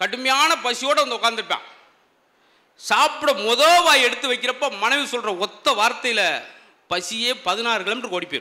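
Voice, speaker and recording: A raised, projected voice with a bright, sharp tone. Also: man. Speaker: stand-up comedian. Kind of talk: comedy speech to a live audience.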